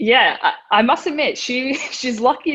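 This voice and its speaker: A woman speaks in an Australian accent. Her pitch varies in an ordinary way. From Australia, Melbourne. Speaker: professional wrestler. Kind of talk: interview. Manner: casual, hesitant.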